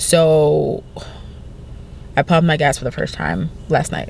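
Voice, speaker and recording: A woman speaks with a New Jersey accent. Background noise is noticeable. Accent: New Jersey American English. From New Jersey, US. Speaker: vlogger. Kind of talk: casual vlog talk. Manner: frequent stutters and repetitions.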